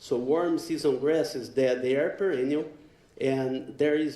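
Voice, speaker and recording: Heard with audible room echo, a man with a Brazilian accent has a dark, mellow tone, a fairly high pitch for a man and ordinary pitch variation. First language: Portuguese. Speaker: animal science professor. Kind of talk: conference lecture. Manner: hesitant with fillers.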